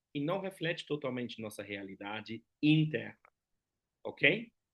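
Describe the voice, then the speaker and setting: A man with a German accent, his pitch fairly high and swinging very widely, at a fairly slow pace. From Germany. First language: German (speaking Portuguese). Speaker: lecturer on personality typology. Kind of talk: lecture. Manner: conversational, frequent tag questions.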